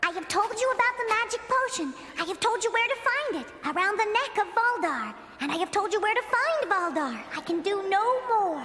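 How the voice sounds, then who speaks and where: A cartoonish character voice, female-sounding and extremely high in pitch, moves at a moderate pace over clear background noise. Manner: calm, ethereal.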